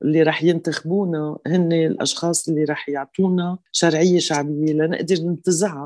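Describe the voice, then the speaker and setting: A fairly low-pitched woman with a dark, mellow tone, monotone, flat intonation, very even loudness, a moderate pace and hardly any pauses. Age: 60s. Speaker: parliamentary candidate. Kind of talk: interview.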